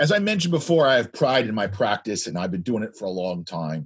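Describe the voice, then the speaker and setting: Talking at a fairly quick pace, a man makes very wide pitch swings. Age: old. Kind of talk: casual chat. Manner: loud.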